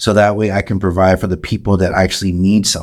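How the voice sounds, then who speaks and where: The recording is very clean and the background silent. A man with an American accent talks in a very deep, low pitch. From San Antonio, Texas. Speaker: podcaster and musician. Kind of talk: casual chat.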